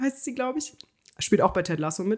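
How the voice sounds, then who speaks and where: A woman speaks at a fairly high pitch. Her voice swings very widely up and down. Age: 20s. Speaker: podcast co-host. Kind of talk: casual chat.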